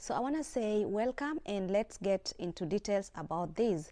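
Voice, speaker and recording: A loud woman's voice with an American accent, medium pitch, a moderate pace and a quiet background. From outside the US. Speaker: video blogger. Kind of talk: casual vlog talk. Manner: trying to speak loudly; halting, many fillers.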